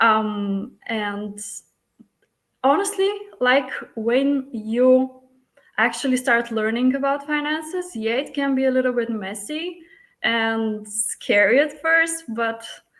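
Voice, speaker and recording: A woman's high-pitched voice in a Bulgarian accent, very slow in pace, with lively intonation. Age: 30s. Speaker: flight attendant, coaching client. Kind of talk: testimonial interview.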